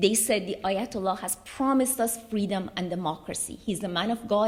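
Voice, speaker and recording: At a moderate pace, a woman speaks in a medium pitch, her voice somewhat breathy. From Iran (Tehran). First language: Russian. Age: 40s. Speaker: human rights speaker, former Iranian prisoner. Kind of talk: conference speech, personal testimony. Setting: conference hall with audience.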